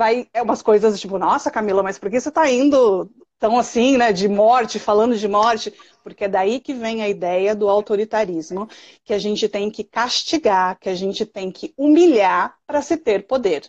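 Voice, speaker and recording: A woman's fairly high voice at a moderate pace with ordinary pitch variation, in a dry, close sound with no echo. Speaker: early childhood specialist and podcast host. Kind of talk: live stream conversation. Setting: live stream video call. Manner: loud.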